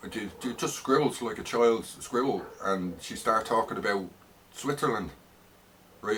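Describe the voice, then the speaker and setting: A man speaks at a moderate pace with a strong Dublin accent and lively intonation. His pitch is medium. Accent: heavy north side Dublin. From Ireland, north side Dublin. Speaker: vlogger. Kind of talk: personal rant monologue. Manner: hesitant, many fillers and repetitions.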